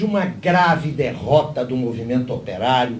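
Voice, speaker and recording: This man's delivery is fairly slow. His pitch rises and falls over a very wide range. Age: 60s. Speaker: panelist at political party seminar. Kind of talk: seminar talk. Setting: panel with live audience. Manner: formal.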